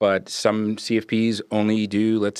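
In a New York accent, a man with a fairly low pitch is heard in a very clean, dry, close recording with no echo and a silent background. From New York (Brooklyn and Long Island). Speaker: financial planner. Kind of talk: casual interview.

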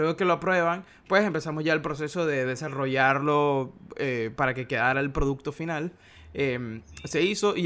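A normal speaking voice from a man, fairly high in pitch, with ordinary pitch variation. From Venezuela, Maracaibo. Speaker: graphic designer. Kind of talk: interview.

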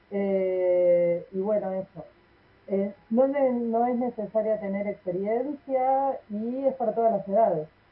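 A woman with a fairly high voice talks at a very slow pace, her pitch varying in an ordinary way. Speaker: library radio segment host. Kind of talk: casual radio chat.

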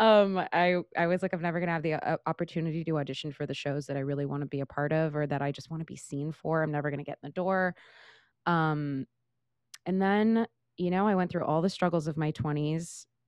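This speaker talks at a very fast pace with an American accent. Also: woman, very deep, low pitch for a woman. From Northern California, Central Valley. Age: 30s. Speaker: Broadway actress and singer. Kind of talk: casual interview chat. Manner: animated.

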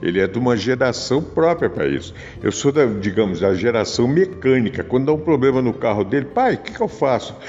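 A man's voice at a medium pitch moves at a fairly quick clip, its intonation lively, with noticeable background noise behind it. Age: 60s. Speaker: podcast host. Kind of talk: casual spiritual monologue. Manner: subdued.

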